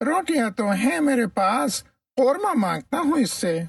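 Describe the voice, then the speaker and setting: A man's put-on character voice with an extremely high pitch and very wide pitch swings. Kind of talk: children's story comedy. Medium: read story. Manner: blustering.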